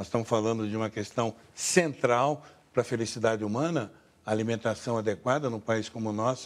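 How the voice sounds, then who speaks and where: A man's ordinary speaking voice at medium pitch, fairly quick in pace, with fairly even intonation. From Rio de Janeiro state, Brazil. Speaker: cultural institution director. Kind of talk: TV interview.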